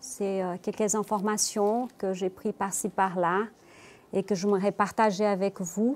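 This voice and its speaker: A woman speaks at a medium pitch and a fairly slow pace, her intonation monotone and flat. The recording is very clean, with a silent background. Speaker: spiritist speaker. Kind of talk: religious talk. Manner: hesitant, many fillers.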